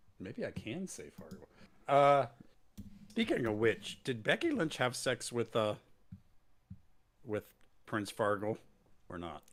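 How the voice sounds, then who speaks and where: Using lively intonation at a medium pitch, a man speaks at a fairly slow pace with long, frequent pauses and big swings in loudness. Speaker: wrestling podcast co-host. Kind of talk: casual chat. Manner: loud after gain raised.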